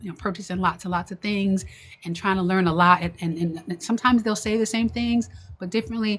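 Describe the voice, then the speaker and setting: Speaking at a very fast pace, a woman has a medium pitch and an American accent. Her intonation stays fairly even. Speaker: online business coach. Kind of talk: livestream talk to viewers. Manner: halting, many fillers and repeats.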